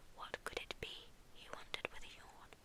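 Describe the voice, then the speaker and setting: Someone is whispering while noticeable background noise goes on. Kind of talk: ASMR bedtime story reading. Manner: soft, relaxing, whispery.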